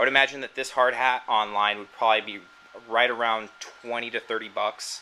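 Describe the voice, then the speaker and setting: A man with an American accent speaks at a medium pitch. His pace is fairly quick, with noticeable background noise. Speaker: cosplay hobbyist. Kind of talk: tutorial. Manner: halting, many fillers.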